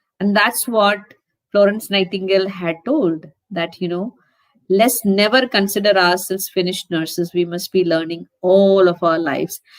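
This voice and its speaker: This woman has an unremarkable speaking voice, medium in pitch, with fairly even intonation at a moderate pace. The sound is dry and close, with no echo. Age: 60s. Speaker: nurse educator. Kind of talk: conference talk.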